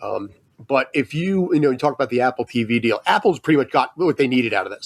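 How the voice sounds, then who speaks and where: With an American accent, a man talks at a very fast pace with a fairly high pitch and lively intonation, and the sound is dry and close with no echo. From US, San Francisco Bay Area. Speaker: sportswriter. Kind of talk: casual interview chat.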